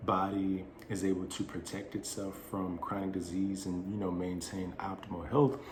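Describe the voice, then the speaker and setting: Noticeable background noise and audible room echo surround a man speaking with a fairly low pitch. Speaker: wellness channel host. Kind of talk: monologue to camera.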